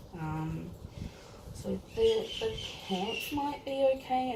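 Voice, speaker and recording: With noticeable background noise and audible room echo, a woman speaks very slowly in an Australian accent. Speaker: teacher and doll collector. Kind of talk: casual unboxing vlog. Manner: rambling, filler-heavy.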